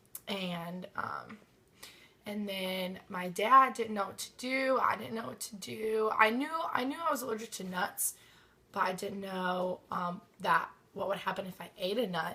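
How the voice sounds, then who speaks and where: Her intonation lively, a woman speaks at a medium pitch while noticeable background noise runs behind her. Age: 20s. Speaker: student. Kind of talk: personal story. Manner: halting, many ums.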